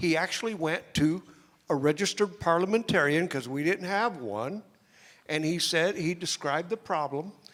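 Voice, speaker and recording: A loud man's voice, high-pitched, with lively intonation. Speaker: party activist. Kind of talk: audience comment.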